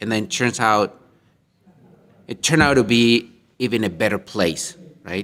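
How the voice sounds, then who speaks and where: A man with a non-native accent and a medium pitch speaks at a moderate pace. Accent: non-native English speaker. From Colombia. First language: Spanish. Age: 40s. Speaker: minister and panelist. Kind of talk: panel discussion. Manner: halting.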